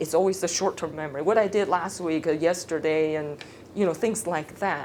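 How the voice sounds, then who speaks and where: A woman's very deep, low pitch with ordinary pitch variation and audible room echo. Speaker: speech therapist. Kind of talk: lecture. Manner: casual.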